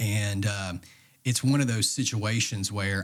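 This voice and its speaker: A man with an East Tennessee accent, fairly low in pitch, at a fairly slow pace with fairly even intonation, in a very clean recording with a silent background. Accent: East Tennessee Southern US. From US South, Knoxville, Tennessee. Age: 20s. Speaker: bodybuilder. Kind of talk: casual chat.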